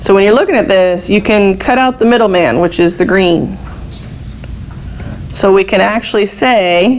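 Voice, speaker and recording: Amid noticeable background noise and audible room echo, a woman of medium pitch speaks at a moderate pace with ordinary pitch variation and long, frequent pauses. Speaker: math teacher. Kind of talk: classroom lecture.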